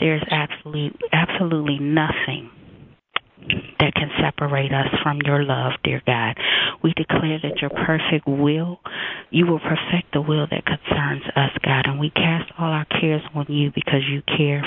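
Over noticeable background noise, a woman speaks at a moderate pace in a very deep, low pitch with monotone, flat intonation. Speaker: caller praying. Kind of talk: fervent prayer. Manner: bold, declaring, emphatic.

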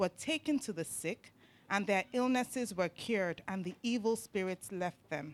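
A woman with a plain, everyday voice at a medium pitch is heard in a very clean recording with a silent background, dry and close with no echo. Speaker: scripture reader. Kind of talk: reading aloud.

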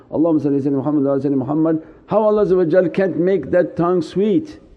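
A man speaks over noticeable background noise. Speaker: Sufi teacher. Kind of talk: sermon; fervent prayer, a pleading supplication spoken to the Prophet, with humble self-abasement. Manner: fervent, pleading, devotional, intense, urgent supplication with emotion.

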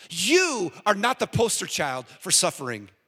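A man with an American accent uses a raised, projected voice with very wide pitch swings. The sound is dry and close with no echo. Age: 50s. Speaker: guest preacher. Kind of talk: sermon. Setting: church.

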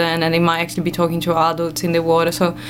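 The speech moves at a very fast pace. Noticeable background noise can be heard. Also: woman. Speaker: radio guest, ecologist. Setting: radio studio.

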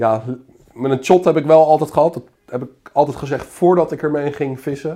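This man has a normal speaking voice with a fairly high pitch. His intonation stays fairly even, and he talks at a fairly quick pace. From Netherlands, Zoetermeer (South Holland). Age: 30s. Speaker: carp angler. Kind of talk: casual chat.

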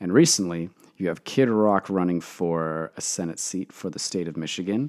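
A man with a Canadian accent, very deep and low in pitch, moderate pace and ordinary pitch variation, on a very clean recording with a silent background. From Canada (Toronto). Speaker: podcast host. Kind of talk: solo commentary monologue.

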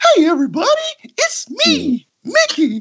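The speaker uses a put-on character voice with a high pitch. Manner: cheery, friendly.

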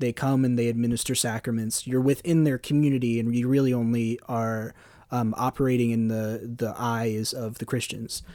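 A man with an American accent speaks at medium pitch in a dark, mellow tone with monotone, flat intonation. His moderate pace comes through a very clean recording with a silent background. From US, Philadelphia area. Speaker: film podcast panelist. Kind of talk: casual film discussion.

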